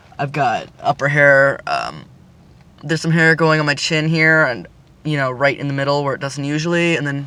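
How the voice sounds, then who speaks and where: Noticeable background noise sits behind this recording. A man talks in a fairly high pitch with fairly even intonation. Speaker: vlogger documenting gender transition. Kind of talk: casual vlog update. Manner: hesitant, many fillers; hurried.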